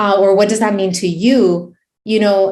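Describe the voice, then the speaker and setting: In an American accent, a woman talks with a monotone, flat intonation. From Miami, US. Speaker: emergency physician and medical Spanish educator. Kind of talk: webinar presentation Q&A. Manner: many fillers, repetitions.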